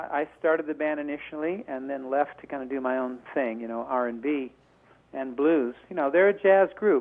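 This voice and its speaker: The man's delivery is neither fast nor slow, and his pitch moves in a normal way. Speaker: guitarist. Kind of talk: radio interview answer. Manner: soft-spoken.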